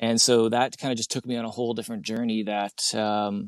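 A man with a Canadian accent at a fairly quick pace, monotone and flat in intonation, the sound dry and close with no echo. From Canada. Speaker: log cabin builder and video creator. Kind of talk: casual interview chat. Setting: outdoors at a cabin build site.

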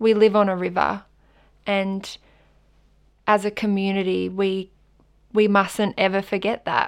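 A woman speaks with an Australian accent at medium pitch. Her delivery is fairly slow and monotone, flat in intonation, with long, frequent pauses. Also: very clean recording, silent background. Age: 20s. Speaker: climate activist and volunteer organiser. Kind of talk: guided audio walk narration.

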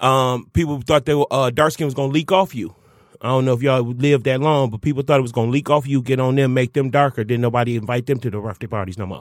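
On a very clean recording with a silent background, this man delivers his words at a very fast pace. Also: medium pitch for a man, ordinary pitch variation. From Detroit, US. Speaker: stand-up comedian. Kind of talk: casual chat. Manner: animated.

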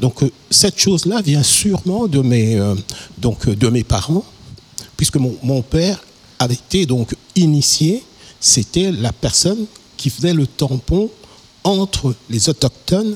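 A man with a fairly high pitch speaks at a very slow pace with long, frequent pauses. His loudness stays very even while his pitch swings very widely. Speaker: musician. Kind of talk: interview. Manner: halting.

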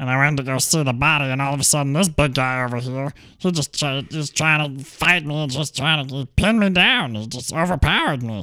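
A man puts on a character voice, fairly high-pitched, talking at a moderate pace with hardly any pauses. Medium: actual play. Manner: rambling, nervous, pleading.

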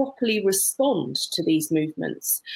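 A woman with a British accent speaks at a moderate pace, her pitch swinging very widely. Her voice has vocal fry, and the recording is very clean with a silent background. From UK. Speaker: barrister. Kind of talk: panel discussion. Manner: halting.

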